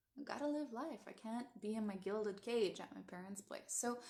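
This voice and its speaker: A woman with a Canadian accent uses a normal speaking voice, ordinary pitch variation and a moderate pace. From Netherlands, immigrated to Canada as a child. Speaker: coach and teacher. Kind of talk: personal storytelling livestream.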